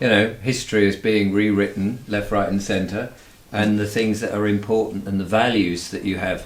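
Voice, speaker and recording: A man with an English accent speaks in a fairly low pitch with a monotone, flat intonation amid audible room echo. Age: 60s. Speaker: YouTuber. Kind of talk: interview. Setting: home studio.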